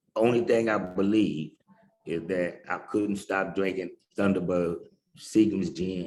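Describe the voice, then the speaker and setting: A man's fairly low pitch and fairly even intonation, in a normal speaking voice. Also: fairly slow pace. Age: 60s. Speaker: recovering addict sharing his story. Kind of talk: testimony.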